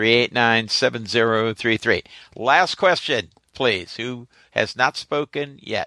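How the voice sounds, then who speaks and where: A man's medium-pitched voice, bright and sharp in tone, at a very slow pace with ordinary pitch variation, in a quiet, dry, close recording with no echo. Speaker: moderator of an online audio auditorium. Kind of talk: event moderator introducing and fielding questions. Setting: online audio auditorium with live callers.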